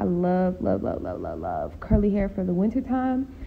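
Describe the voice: A woman with vocal fry talks at a moderate pace, her medium pitch making big swings.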